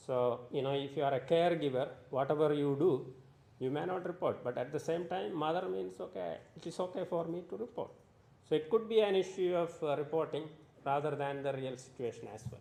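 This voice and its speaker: At a fairly quick pace, a man with a fairly high pitch talks with lively intonation amid audible room echo. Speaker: conference presenter. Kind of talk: conference presentation.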